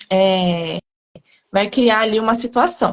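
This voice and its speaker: This woman is soft-spoken, with a fairly high pitch and ordinary pitch variation. The sound is dry and close, with no echo. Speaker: astrologer. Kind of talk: informal explanation in live chat. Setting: live video call.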